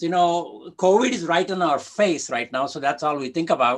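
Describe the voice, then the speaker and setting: Against a quiet background, a man with a high pitch speaks at a moderate pace. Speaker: career coach and speaker. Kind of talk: conference presentation. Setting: video call. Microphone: video call.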